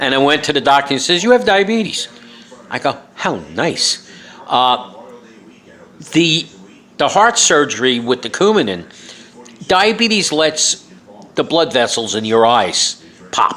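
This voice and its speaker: Over noticeable background noise, a man with a New York accent speaks at a fairly slow pace and fairly high pitch, with very wide pitch swings and long, frequent pauses. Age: 60s. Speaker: author and vlogger. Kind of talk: casual monologue. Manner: halting, many fillers.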